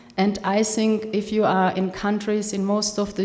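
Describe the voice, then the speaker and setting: Over noticeable background noise and audible room echo, a woman with a German accent talks at medium pitch and a moderate pace in a monotone, flat intonation. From Germany. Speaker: film funding expert. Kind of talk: workshop talk. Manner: halting.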